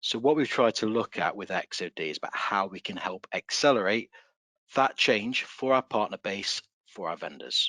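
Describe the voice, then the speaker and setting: The voice has a bright, sharp tone, an English accent, and lively intonation at a moderate pace. The sound is dry and close with no echo, over a quiet background. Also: man, fairly low pitch for a man. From England. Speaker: solutions consultant. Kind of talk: webinar presentation.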